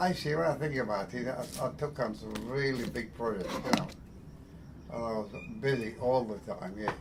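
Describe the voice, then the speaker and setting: Noticeable background noise sits under a voice with lively intonation. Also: man, medium pitch for a man, moderate pace. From England. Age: 80s+. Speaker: heavy machinery construction worker. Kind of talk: interview answer.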